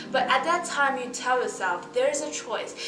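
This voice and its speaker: Speaking with a Mandarin accent at a moderate pace, a woman uses lively intonation amid noticeable background noise and audible room echo. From Shanghai, China. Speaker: university student and musician. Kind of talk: podcast interview.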